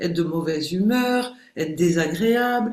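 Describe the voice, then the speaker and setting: A woman with a fairly low pitch and lively intonation is heard in audible room echo over noticeable background noise. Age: 60s. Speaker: behavioural coach and hypnotherapist. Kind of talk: podcast interview.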